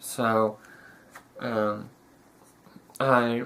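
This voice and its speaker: A man talks in a bright, sharp tone. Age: young. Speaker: young man with a rare syndrome answering questions. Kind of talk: casual Q&A interview video. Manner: halting, many fillers and restarts.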